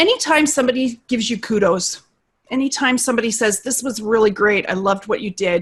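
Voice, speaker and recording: A woman talks at a fairly quick pace, somewhat breathy. Her pitch varies in an ordinary way. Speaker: instructional design business owner and voice narrator. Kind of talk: casual chat. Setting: video call.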